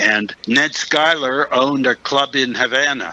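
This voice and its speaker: At a moderate pace and medium pitch, a man talks with fairly even intonation while noticeable noise runs in the background. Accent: American. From Pittsburgh, Pennsylvania. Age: 80s+. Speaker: actor. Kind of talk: interview.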